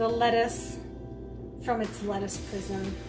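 Clear music plays behind a woman speaking at a very slow pace. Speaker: cooking video host. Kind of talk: casual how-to talk to camera. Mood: playful, joking. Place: kitchen.

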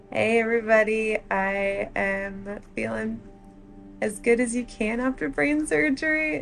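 A woman with a cheerful tone at a fairly slow pace, faint music in the background. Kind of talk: casual vlog chat. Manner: groggy, weak post-surgery voice, cheerful. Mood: upbeat, cheerful. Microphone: camera far.

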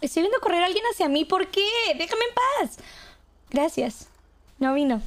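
Her pitch is extremely high, and the woman moves at a moderate pace through very wide pitch swings. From Monterrey, Mexico. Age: 20s. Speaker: Twitch streamer. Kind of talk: game role play. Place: home room. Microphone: studio mic.

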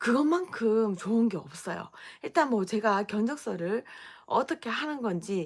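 At a fairly slow pace, a woman speaks in a fairly high voice with a Gyeongsang accent. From Gyeongsang region, Daegu. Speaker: business owner and coach. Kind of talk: live stream talk. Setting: at home.

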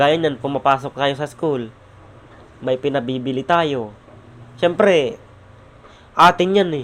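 With long, frequent pauses, a man speaks slowly-ish at a fairly high pitch and ordinary pitch variation. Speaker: vlogger. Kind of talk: vlog monologue. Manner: raised voice; halting.

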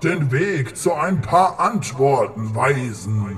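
Over clear music in the background, a man speaks with very wide pitch swings. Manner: grave, earnest.

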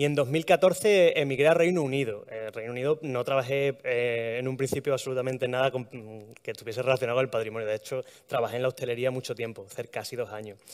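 With an Extremaduran accent, the speaker goes at a very fast pace with hardly any pauses and ordinary pitch variation over a quiet background. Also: man, medium pitch for a man. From Extremadura, Spain. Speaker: heritage blogger, art historian; heritage blogger. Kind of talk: talk to live audience. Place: hall.

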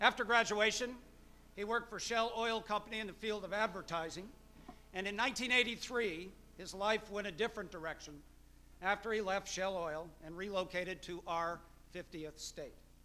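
A raised, projected voice at a moderate pace, with ordinary pitch variation and big swings in loudness. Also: man. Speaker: event host introducing the guest lecturer. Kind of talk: formal speaker introduction. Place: hall. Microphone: podium.

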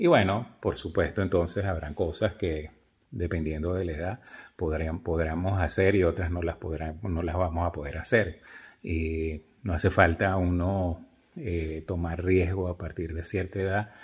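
A man's very deep, low voice, somewhat breathy and fairly even in intonation, at a fairly slow pace over a quiet background. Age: 60s. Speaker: video blogger. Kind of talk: casual monologue to camera. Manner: halting, many fillers. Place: home room. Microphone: phone near.

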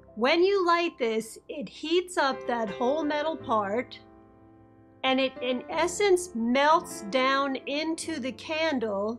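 Faint music plays in the background as a woman speaks at a very slow pace in a high pitch. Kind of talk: tutorial.

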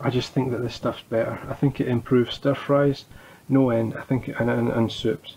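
With a Scottish accent, a man talks at a moderate pace. His intonation stays fairly even. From Scotland. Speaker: home cook. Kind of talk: cooking tutorial. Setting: home kitchen. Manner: casual, halting. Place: kitchen. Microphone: phone near.

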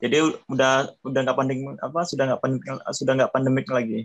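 This man has an ordinary speaking voice, pitched in the middle range, with fairly even intonation. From Indonesia. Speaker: skilled worker in Japan. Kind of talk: casual interview. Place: home room. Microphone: video call.

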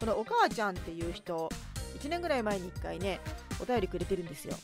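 A woman's voice sounds dry with no echo while clear music plays in the background. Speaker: narrator and writer; radio host. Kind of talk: late-night radio talk show. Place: studio.

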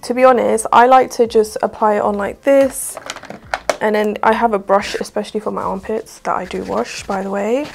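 A woman with a southern English accent, medium pitch, vocal fry, ordinary pitch variation and a moderate pace. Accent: British, southern English.

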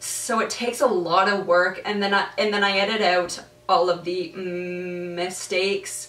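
A woman with a fairly low pitch speaks at a fairly slow pace with little pitch movement and a fairly bright tone, with audible room echo.

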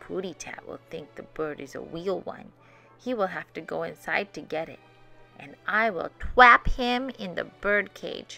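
A woman puts on a character voice with vocal fry, a bright, sharp tone and fairly low pitch, at a fairly slow pace. Faint music plays in the background. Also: ordinary pitch variation.

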